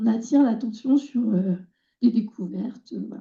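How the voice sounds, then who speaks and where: Fairly high in pitch yet dark and mellow in tone, a woman speaks in a somewhat breathy way. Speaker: environmental educator. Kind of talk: conference talk. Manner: hesitant, many fillers.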